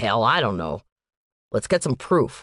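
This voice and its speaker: A put-on character voice growls at a low pitch. The pace is moderate and the background quiet. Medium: read story. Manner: measured, reflective.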